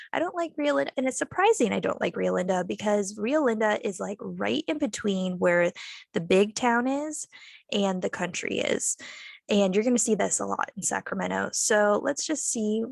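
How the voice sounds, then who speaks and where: At a moderate pace, a woman talks in a dry, close sound with no echo. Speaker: real estate agent. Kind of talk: casual map tour walkthrough. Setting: video call.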